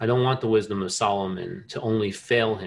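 A man's ordinary speaking voice, medium in pitch, with an American accent at a moderate pace. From New Jersey. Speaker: inventor and scientist. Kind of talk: interview conversation.

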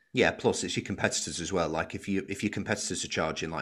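Speaking at a very fast pace with fairly even intonation, a man talks in a Lancashire accent. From Wigan, northern England. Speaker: podcast host. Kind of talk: casual interview.

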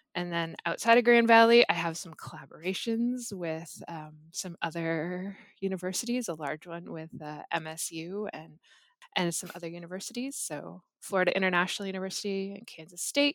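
A woman with a Canadian accent and an unremarkable speaking voice, medium in pitch with ordinary pitch variation, moderate pace and big swings in loudness, in a very clean recording with a silent background. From Canada, Ontario (Muskoka). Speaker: chemistry professor. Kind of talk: casual interview.

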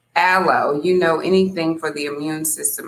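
A woman speaks loudly with a fairly low pitch. Her tone is bright and sharp. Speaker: podcast host. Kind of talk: casual livestream chat. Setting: live stream from home apartment. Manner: animated.

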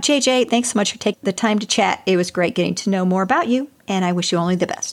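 On a very clean recording with a silent background, a woman talks very fast at a medium pitch with ordinary pitch variation. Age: 50s. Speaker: podcast host. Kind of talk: casual interview.

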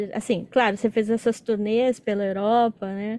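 A woman with a normal speaking voice, fairly high pitch, moderate pace, quiet background. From Brazil, São Paulo. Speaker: podcast host. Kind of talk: casual interview.

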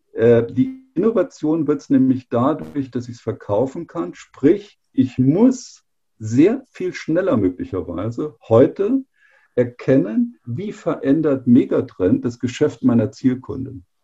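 Very wide pitch swings and big swings in loudness mark this man's very slow delivery, his voice fairly high-pitched, dark and mellow in tone, with vocal fry. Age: 50s. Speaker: engineering executive. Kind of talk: interview.

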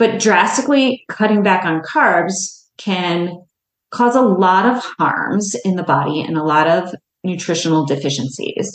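A woman speaks at a fairly slow pace in a plain, everyday voice. Her pitch is medium and her intonation lively. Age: 50s. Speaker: dietitian and podcast host. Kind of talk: solo educational podcast talk.

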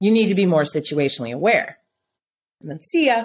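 With an American accent, a woman talks in a lively, varied intonation. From central Minnesota. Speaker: self-defense training company founder. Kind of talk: interview.

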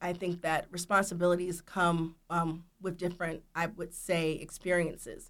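With an American accent, a woman speaks at a moderate pace and a fairly low pitch, her intonation monotone and flat, with hardly any pauses. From US South, Georgia. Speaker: record label executive. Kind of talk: interview.

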